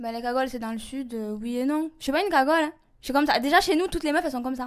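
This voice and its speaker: Ordinary pitch variation runs through very fast speech on a very clean recording with a silent background. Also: woman, high pitch for a woman. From southern France. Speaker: reality TV personality. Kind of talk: humorous interview. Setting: in a bathtub. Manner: casual.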